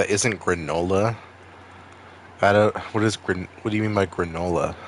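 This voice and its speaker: Man with a Maine accent over noticeable background noise. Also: fairly low pitch for a man, moderate pace. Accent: New England (Maine) accent, drops R's. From Maine, US. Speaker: streamer. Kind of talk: casual chat. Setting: live stream. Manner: animated.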